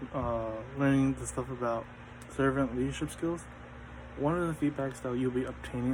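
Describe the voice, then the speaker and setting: At a moderate pace, a man mumbles at a medium pitch with ordinary pitch variation. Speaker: student. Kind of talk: class presentation. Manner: stuttering, mumbling.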